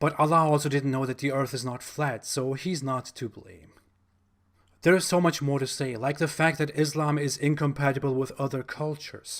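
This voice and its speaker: Recorded very cleanly against a silent background, a man with a German accent uses a fairly high pitch and fairly even intonation. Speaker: YouTuber, religion critic. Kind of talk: monologue commentary video.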